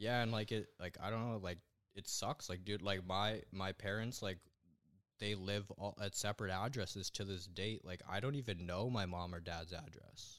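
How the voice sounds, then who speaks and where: On a very clean recording with a silent background, a man speaks with a Western Canadian accent. His fairly low voice moves at a moderate pace with fairly even intonation. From western Canada (Alberta, raised in Langley, BC). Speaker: young online entrepreneur, web designer. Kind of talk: casual interview chat.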